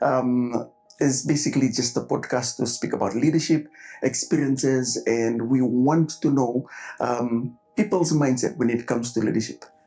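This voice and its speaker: Noticeable background noise sits behind a man speaking at a moderate pace with very even loudness and ordinary pitch variation. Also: medium pitch for a man. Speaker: podcast host. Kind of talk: podcast interview questions.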